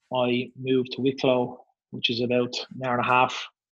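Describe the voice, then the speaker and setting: A man of medium pitch speaks with an Irish accent. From Ireland. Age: 30s. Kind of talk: casual interview.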